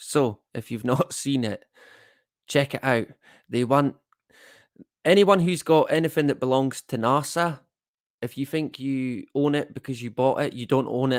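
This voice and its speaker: A man with a northeast Scottish accent talks at a medium pitch with ordinary pitch variation. The recording is very clean and dry, close with no echo, over a silent background. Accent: north-east Scottish (Doric). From Scotland, Elgin (Moray, north-east). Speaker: live-stream host. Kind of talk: casual live-stream chat reading comments. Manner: slangy, casual; hesitant, many fillers.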